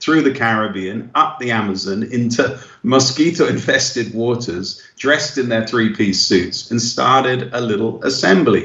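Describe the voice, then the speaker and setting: The speaker has an English accent and a moderate pace. Pitch variation is ordinary. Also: man. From England. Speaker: missionary and evangelist. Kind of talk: radio interview. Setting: phone call.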